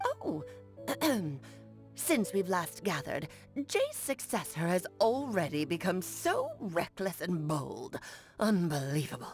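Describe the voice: A woman's put-on character voice at medium pitch, fairly slow and broken by long, frequent pauses, with clear music in the background.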